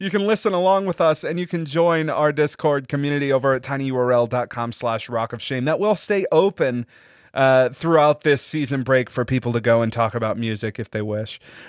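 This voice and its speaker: A man speaks at a fairly quick pace with hardly any pauses, his pitch fairly high and his intonation lively. It is a normal speaking voice against a quiet background. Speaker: podcast host. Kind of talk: casual banter, podcast episode. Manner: filler-heavy, laughs often.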